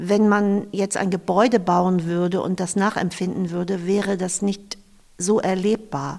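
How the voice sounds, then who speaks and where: In a very clean recording with a silent background, a woman talks in a normal speaking voice at medium pitch and a fairly slow pace. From northern Germany, Eckernförde (Schleswig-Holstein). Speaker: museum volunteer and graphic designer. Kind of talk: interview. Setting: on location in an old fish smokehouse.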